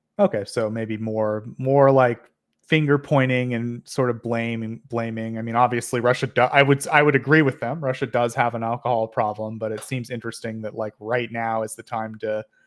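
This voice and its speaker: A man at a medium pitch with an American accent, moderate pace, fairly even intonation and hardly any pauses. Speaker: panel show moderator. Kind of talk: panel discussion. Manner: halting, many fillers.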